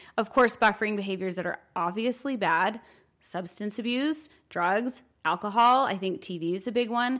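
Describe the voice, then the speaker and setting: A woman with a normal speaking voice, medium in pitch, with lively intonation at a moderate pace. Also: very clean recording, silent background. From New York, US. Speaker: podcast co-host. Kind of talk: casual chat.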